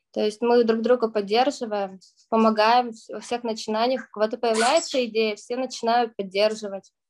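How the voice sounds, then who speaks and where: A woman with an ordinary speaking voice talks at a moderate pace in a fairly high pitch. Her intonation stays fairly even while her loudness swings widely. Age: 20s. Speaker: youth parliament member and student. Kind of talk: radio interview.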